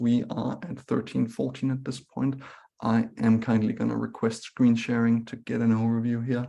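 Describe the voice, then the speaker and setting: A man with a Scandinavian accent has a dark, mellow tone. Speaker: webinar moderator. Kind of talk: webinar moderation. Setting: online webinar.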